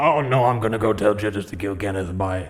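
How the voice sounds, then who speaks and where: Doing a raspy put-on character voice, a man speaks at a fairly quick pace and fairly low pitch, with faint music in the background. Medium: actual play. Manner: whiny, mocking, petulant.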